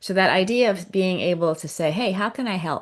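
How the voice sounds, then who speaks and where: A woman speaks with an American accent at a moderate pace. Her pitch is fairly low, and the background is quiet. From US, child of Chinese immigrants. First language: Cantonese. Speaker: author and leadership consultant. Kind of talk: interview conversation. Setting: live stream. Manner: animated.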